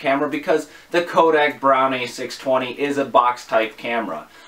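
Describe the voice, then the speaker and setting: A man speaks at a moderate pace, his pitch varying in an ordinary way. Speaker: vintage camera reviewer. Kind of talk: tutorial. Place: home room.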